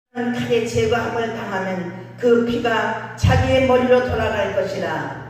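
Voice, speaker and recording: A woman talks at a very slow pace with hardly any pauses, her pitch fairly high. Noticeable background noise runs under the recording. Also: ordinary pitch variation. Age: 80s+. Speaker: pastor. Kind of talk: sermon at a rally. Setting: outdoor rally.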